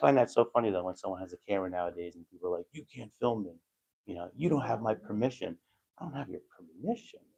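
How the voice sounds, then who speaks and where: A man whispers at a very fast pace. The sound is dry and close, with no echo. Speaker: first amendment auditor livestreamer. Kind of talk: live stream commentary. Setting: indoors in city hall hallway. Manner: whispering.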